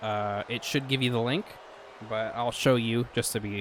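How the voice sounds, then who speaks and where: A man with an American accent and an ordinary speaking voice talks at a moderate pace and a medium pitch. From West Virginia. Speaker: streamer and show host. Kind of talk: casual chat. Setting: voice call on a live stream.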